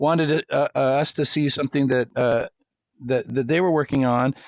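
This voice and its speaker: Heard with a dry, close sound and no echo, a man with an American accent speaks at a fairly high pitch and a moderate pace with ordinary pitch variation. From United States. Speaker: workshop host and teacher. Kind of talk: casual online workshop chat. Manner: halting, many repetitions.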